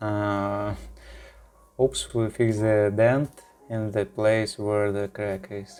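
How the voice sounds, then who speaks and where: A speaker with a non-native accent talks at a very slow pace, with long, frequent pauses and music playing in the background. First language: not English. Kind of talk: tutorial. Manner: hesitant, many fillers.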